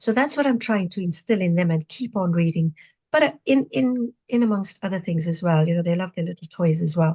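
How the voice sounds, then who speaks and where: Somewhat breathy and dark, mellow in tone, a woman with a fairly low pitch talks at a fairly quick pace with lively intonation, the sound dry and close with no echo. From Zimbabwe (Rhodesia era), Indian family. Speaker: retired pharmacist and novelist. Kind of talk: interview conversation. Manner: animated.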